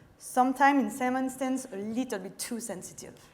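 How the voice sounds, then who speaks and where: A fairly high-pitched woman with a French accent, talking at a fairly quick pace with ordinary pitch variation. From France, French Alps. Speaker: chemist and startup co-founder. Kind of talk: pitch presentation. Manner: halting.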